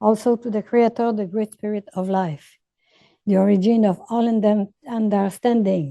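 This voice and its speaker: A woman with a Quebec accent speaks at a moderate pace and a fairly high pitch, her tone dark and mellow. Her intonation is fairly even, and the sound is dry and close with no echo. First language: French. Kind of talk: opening ceremony address. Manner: halting.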